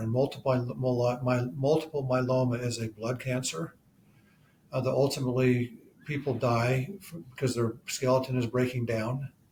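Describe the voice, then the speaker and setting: A man with an ordinary speaking voice and a medium pitch talks at a moderate pace with fairly even intonation. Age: 60s. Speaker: amateur road cyclist. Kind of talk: interview answer.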